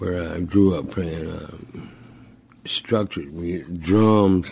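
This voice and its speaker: A man with an American accent speaks very slowly in a monotone, flat intonation. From St. Louis, Missouri. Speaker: blues musician. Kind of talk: interview.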